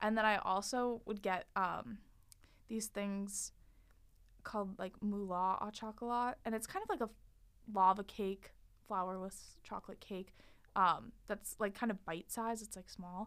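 This woman talks at a fairly slow pace with long, frequent pauses. Her pitch is medium and her intonation fairly even. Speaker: student food and culture writer. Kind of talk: casual interview.

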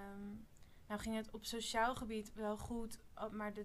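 At a fairly slow pace, a woman speaks in a monotone with flat intonation and a fairly high pitch. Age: 20s. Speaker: spiritual retreat participant. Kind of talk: casual chat.

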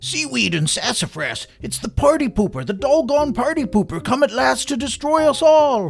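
A man's put-on character voice at an extremely high pitch, full of vocal fry and big pitch swings, at a moderate pace over faint music in the background

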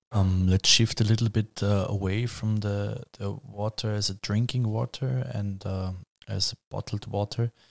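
A man with a German accent speaks at a fairly slow pace and fairly low pitch, his intonation monotone and flat. The recording is very clean with a silent background and a dry, close sound with no echo. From Vienna, Austria. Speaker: student podcast host. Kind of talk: interview moderation.

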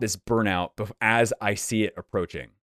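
A man's unremarkable speaking voice at medium pitch with ordinary pitch variation, dry and close with no echo, on a very clean recording with a silent background. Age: 30s. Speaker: YouTuber and former attorney. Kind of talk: casual interview.

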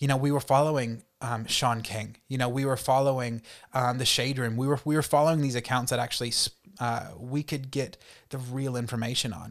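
A man with an American accent speaks at a medium pitch and a fairly quick pace, in a monotone, flat way. The recording is very clean with a silent background. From US South, North Carolina. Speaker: youth worker and teacher. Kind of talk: casual interview.

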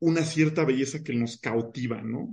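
A man's normal speaking voice, fairly high in pitch, with ordinary pitch variation. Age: 20s. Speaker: mathematician. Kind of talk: casual chat.

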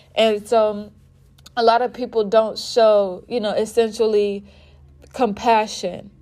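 A woman with an American accent speaks fairly slowly in a fairly high voice with a dark, mellow tone, flat monotone intonation and long, frequent pauses. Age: 20s. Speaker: podcaster. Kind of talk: solo podcast monologue. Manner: casual, frequent filler words.

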